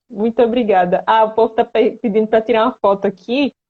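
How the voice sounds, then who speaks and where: Fairly quick and fairly high-pitched, a woman speaks in a Pernambuco accent with monotone, flat intonation. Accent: Pernambuco accent, noticeable. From Recife, Pernambuco, Brazil. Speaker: patient advocate, live-stream host. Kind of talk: live-stream interview. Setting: online live stream.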